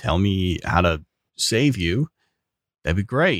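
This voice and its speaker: Dry and close with no echo, a man's voice makes very wide pitch swings. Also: very clean recording, silent background. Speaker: tabletop game player. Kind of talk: tabletop roleplaying game session.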